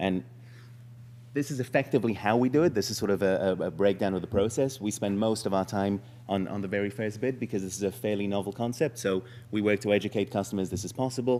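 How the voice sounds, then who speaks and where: At a very fast pace, a man talks with a fairly low pitch and ordinary pitch variation. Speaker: startup founder pitching. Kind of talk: startup pitch presentation. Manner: hesitant, many fillers.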